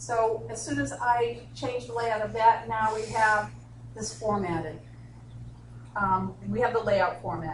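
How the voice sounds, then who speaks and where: Amid noticeable background noise and audible room echo, a woman with a Boston accent speaks at a fairly slow pace with very wide pitch swings. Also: fairly low pitch for a woman. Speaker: instructional designer, software trainer. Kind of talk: software tutorial workshop.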